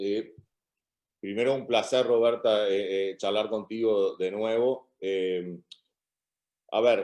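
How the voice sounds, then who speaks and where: A man's fairly low pitch and fairly even intonation, at a very slow pace with long, frequent pauses. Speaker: criminal law professor. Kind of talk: academic Q&A answer.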